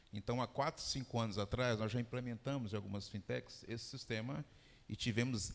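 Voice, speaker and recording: In a very clean recording with a silent background, a man with a Goiás accent speaks at a moderate pace and medium pitch, his intonation fairly even. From Brazil, Goiás. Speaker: fintech executive. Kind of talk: panel discussion.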